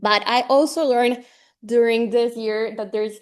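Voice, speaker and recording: Against a quiet background, a woman talks in a Spanish accent at a fairly high pitch. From Colombia, Medellin. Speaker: graduate student researcher in ornithology. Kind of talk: research seminar presentation. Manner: halting, many fillers.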